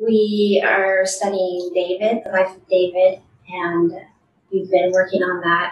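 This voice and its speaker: Monotone and flat, a woman speaks at a medium pitch. Her pace is very slow. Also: big swings in loudness. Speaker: mentee. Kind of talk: testimony.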